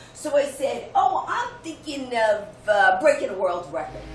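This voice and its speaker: Amid noticeable background noise, a woman speaks fairly slowly in an energetic tone, her high pitch making very wide swings. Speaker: motivational speaker. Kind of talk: keynote speech. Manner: humorous, energetic.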